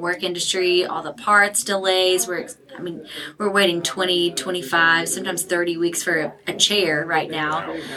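Her tone is upbeat and enthusiastic as this woman speaks at a fairly slow pace. Noticeable background noise runs underneath. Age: 30s. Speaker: interior designer. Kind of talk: casual interview. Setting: live event party. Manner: upbeat, enthusiastic.

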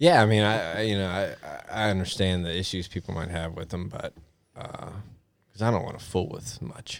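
The speaker's pitch varies in an ordinary way at a moderate pace. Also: man. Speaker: motorcycle rider. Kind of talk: casual chat. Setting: outdoors.

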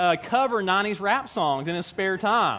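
A man with an Appalachian accent speaks at a moderate pace, his intonation lively. The recording is very clean, with a silent background. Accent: Southern US (Appalachian). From US South, East Tennessee mountains. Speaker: pastor. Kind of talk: sermon.

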